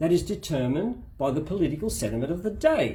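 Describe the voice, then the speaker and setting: A man speaks with a high voice and an Australian accent. His pitch swings very widely. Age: 60s. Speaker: spouse giving a case update. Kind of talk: spoken opinion monologue. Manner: emphatic, impassioned.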